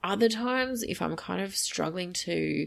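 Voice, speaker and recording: A woman speaks with an Australian accent on a very clean recording against a silent background. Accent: Australian, broad. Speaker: spiritual medium podcaster. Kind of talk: casual monologue. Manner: many fillers, casual.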